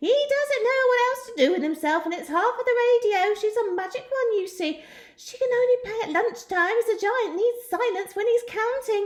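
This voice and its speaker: Using a put-on character voice, a woman cackles in a squeaky, extremely high pitch at a moderate pace. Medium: read story.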